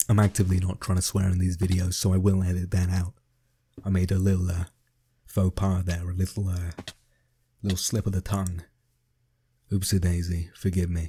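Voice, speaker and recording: A man's very deep, low voice with an English accent, dark and mellow, somewhat breathy, flat and monotone, at a fairly quick pace broken by long, frequent pauses. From England. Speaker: gaming YouTuber. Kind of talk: casual gameplay commentary. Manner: hesitant, many fillers.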